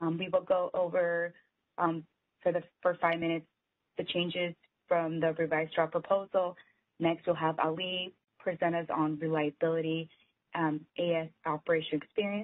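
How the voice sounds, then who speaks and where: With long, frequent pauses, a woman talks in a fairly low pitch and a monotone, flat intonation. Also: moderate pace, quiet background. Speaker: meeting facilitator. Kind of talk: meeting facilitation, housekeeping announcements. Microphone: video call.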